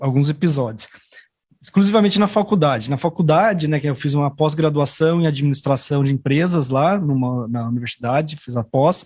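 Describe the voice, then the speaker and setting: At a fairly quick pace, a man talks with a fairly high pitch and ordinary pitch variation. His voice is somewhat breathy. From São Paulo, Brazil. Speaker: guest who lived abroad. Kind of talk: casual chat. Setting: studio.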